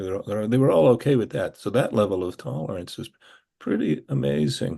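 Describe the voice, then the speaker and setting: The speaker has an American accent and vocal fry, with a dark, mellow tone. The pace is moderate and the pitch swings very widely. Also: man. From Pennsylvania. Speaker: novelist and retired professor. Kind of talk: interview. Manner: halting.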